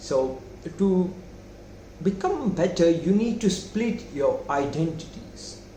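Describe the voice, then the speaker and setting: A man with a non-native accent talks at a high pitch, with lively intonation and very even loudness. Long, frequent pauses break up his speech, and room echo is audible. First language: not English. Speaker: self-improvement youtuber. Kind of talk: casual monologue. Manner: halting.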